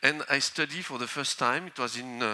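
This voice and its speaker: A man with a French accent talks at a fairly quick pace in a bright, sharp tone. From northern France. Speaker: volcanologist. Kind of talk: conference talk. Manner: halting.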